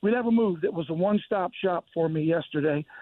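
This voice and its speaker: The voice belongs to a man with an American accent. His pitch is high and his pace moderate. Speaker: charter fishing captain. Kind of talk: casual chat.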